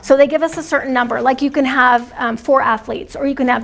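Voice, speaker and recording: Against noticeable background noise, a woman with a high-pitched voice talks at a very fast pace. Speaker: dance program coordinator. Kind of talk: training discussion. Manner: soft-spoken. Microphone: too quiet, hard to hear.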